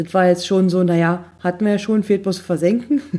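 Somewhat breathy and dark, mellow in tone, a woman's voice sits at medium pitch with ordinary pitch variation. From eastern Germany. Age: 30s. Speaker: podcast host. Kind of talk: casual monologue.

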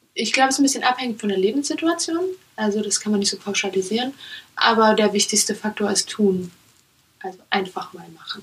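Very fast, somewhat breathy speech with lively intonation and big swings in loudness. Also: woman, fairly high pitch for a woman. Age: 20s. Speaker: startup founder. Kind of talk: interview.

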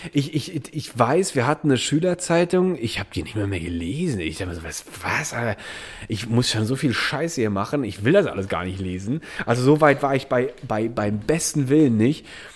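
A man speaks at a moderate pace with a medium pitch and very wide pitch swings. Noticeable background noise runs under his voice. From Germany, Eifel region. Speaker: podcast co-host. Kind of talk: casual chat.

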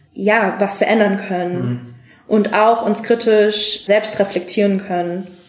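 There is noticeable background noise. Over it, a woman speaks at a fairly high pitch with fairly even intonation. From Germany, Frankfurt am Main. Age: 20s. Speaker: diplomat. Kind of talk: interview. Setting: studio.

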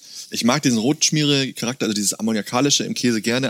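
In a very clean recording with a silent background, a man speaks very fast at a medium pitch with fairly even intonation. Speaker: farm owner and cheesemaker. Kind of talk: casual interview with cheese tasting. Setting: on the farm, face to face.

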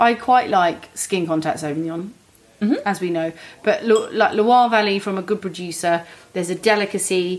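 With a British accent, a woman speaks at a moderate pace and medium pitch, using ordinary pitch variation. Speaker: podcast host, wine trade professional. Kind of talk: casual chat about wine.

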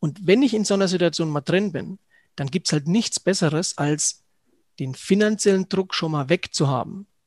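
Ordinary pitch variation in a dry, close sound with no echo and a quiet background. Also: man, high pitch for a man, moderate pace. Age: 40s. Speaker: financial advisor. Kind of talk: interview.

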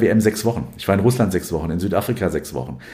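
A man speaks very fast in a very deep, low pitch with vocal fry. His tone is dark and mellow, his intonation lively. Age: 40s. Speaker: sports journalist, newspaper sports editor. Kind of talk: interview. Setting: recorded at his home. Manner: frequent hesitations (äh).

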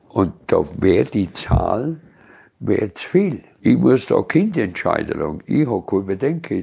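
The speaker talks at a fairly slow pace with a strong Allgäu accent. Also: man. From Allgäu, Bavaria. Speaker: local elder sharing childhood memories. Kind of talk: casual reminiscing chat. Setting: cozy living room by a tiled stove.

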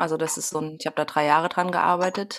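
A woman at a very fast pace, fairly even intonation, noticeable background noise behind her. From Saxony, eastern Germany (Grimma). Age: 30s. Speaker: singer-songwriter. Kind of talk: casual chat. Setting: home office, remote.

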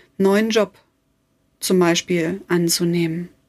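A woman talks very slowly, with ordinary pitch variation. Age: 40s. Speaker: life coach / podcast host. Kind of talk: motivational podcast monologue. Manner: warm, emotive.

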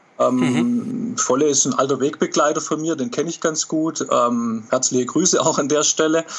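Noticeable background noise sits under a man's fairly high-pitched voice. He speaks with lively intonation and hardly any pauses. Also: moderate pace. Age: 40s. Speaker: author and football fan. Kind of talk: casual interview.

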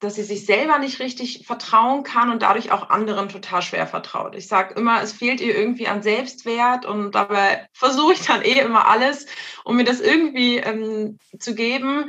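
Heard at a moderate pace, a normal speaking voice shows ordinary pitch variation. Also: woman. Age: 30s. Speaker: mother. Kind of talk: casual interview.

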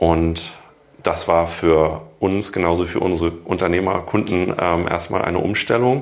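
Very deep and low, a man's voice keeps very even loudness and fairly even intonation. Audible room echo surrounds it. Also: fairly slow pace. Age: 40s. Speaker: corporate health management entrepreneur. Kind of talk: interview.

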